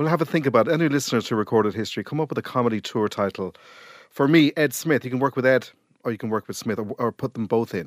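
A man talks very fast at a medium pitch with ordinary pitch variation. The recording is very clean, with a silent background and a dry, close sound with no echo. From Ireland. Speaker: podcast host. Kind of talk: casual interview chat.

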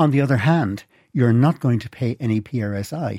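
A man with an Irish accent speaks at a medium pitch with ordinary pitch variation, his dark, mellow tone captured dry and close with no echo on a very clean recording against a silent background. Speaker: retirement planning expert, former pensions ombudsman. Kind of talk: radio interview. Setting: radio studio.

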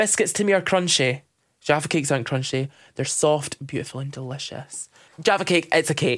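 On a very clean recording with a silent background, a man with a Dundee accent speaks fairly quickly at a fairly high pitch, with ordinary pitch variation. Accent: Dundee Scottish. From Scotland, Dundee (Kirkton scheme). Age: 20s. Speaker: drag queen, podcast host. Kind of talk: casual chat. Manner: animated.

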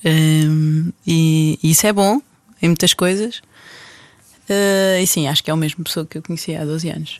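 Recorded with a dry, close sound and no echo, a woman talks at a moderate pace with long, frequent pauses. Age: 30s. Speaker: married mother of five. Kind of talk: casual interview conversation.

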